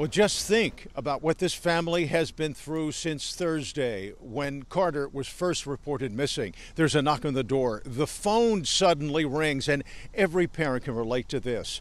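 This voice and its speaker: A man speaks at a moderate pace in a dry recording with no echo. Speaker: TV news reporter. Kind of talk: live news report. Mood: somber, sympathetic. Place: street. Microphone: handheld.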